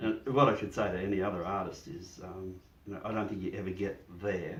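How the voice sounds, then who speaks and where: A man with an Australian accent speaks at a fairly quick pace in a fairly low, somewhat breathy voice with ordinary pitch variation. Audible room echo surrounds the recording. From Australia, Ballarat, Victoria. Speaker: painter. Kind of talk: interview. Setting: studio. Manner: halting.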